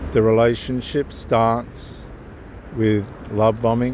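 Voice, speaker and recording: There is noticeable background noise. A man talks very slowly in a monotone, flat intonation. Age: 50s. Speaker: theologian giving life advice. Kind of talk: informal talk with Bible reflection. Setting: outdoors, on the move.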